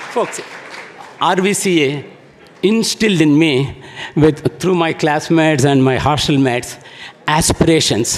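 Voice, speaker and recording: A man with a fairly high pitch and ordinary pitch variation speaks at a fairly slow pace, leaving long, frequent pauses. His loudness stays very even over noticeable background noise. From India, small town, not Karnataka. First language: an Indian language. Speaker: alumnus speaker. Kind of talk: speech at alumni event. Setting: event hall with audience.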